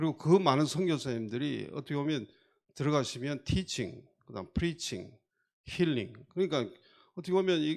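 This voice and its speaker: A man with a Gyeongsang accent, fairly high pitch and lively intonation, at a moderate pace with long, frequent pauses. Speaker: foundation committee chair, doctor. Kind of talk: onstage interview talk.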